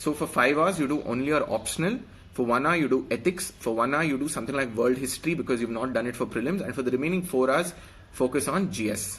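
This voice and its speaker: Speaking very fast with an Indian accent, a man uses a medium pitch and ordinary pitch variation. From India, Karnataka (Bangalore). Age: 20s. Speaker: police officer giving exam advice. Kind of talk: live stream exam advice. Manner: hesitant, many fillers.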